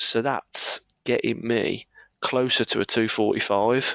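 A man with a Birmingham accent, medium pitch, at a very slow pace. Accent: Birmingham (Brummie), noticeable. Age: 30s. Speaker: running coach. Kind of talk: casual chat, podcast.

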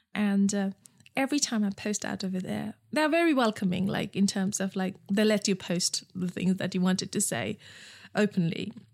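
A somewhat breathy woman at a moderate pace, on a very clean recording with a silent background. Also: medium pitch for a woman, ordinary pitch variation. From Nepal. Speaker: entrepreneur, founder of a period underwear brand. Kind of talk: interview. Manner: halting, with repetitions.

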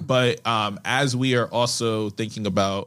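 An unremarkable speaking voice from a man, fairly low in pitch and fairly even in intonation, on a very clean recording with a silent background. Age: 20s. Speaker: English teacher. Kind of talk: casual chat.

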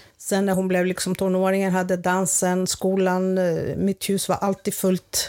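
In a very clean recording with a silent background, a woman speaks at a medium pitch and a fairly slow pace, her intonation flat and monotone. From Greece, village. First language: Greek (speaking Swedish). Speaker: grandmother. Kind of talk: casual chat.

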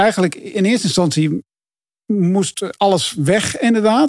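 Lively intonation marks this man's voice, recorded dry and close with no echo on a very clean recording with a silent background. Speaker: cycling pundit. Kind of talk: casual chat.

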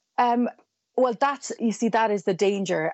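Here is a woman with a normal speaking voice. Her pitch varies in an ordinary way. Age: 40s. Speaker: journalist. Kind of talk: panel discussion. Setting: phone or remote line.

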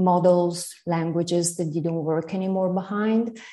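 In an Italian accent, a woman speaks with a dark, mellow tone at a fairly low pitch. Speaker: literary translator and teacher. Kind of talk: interview about literature.

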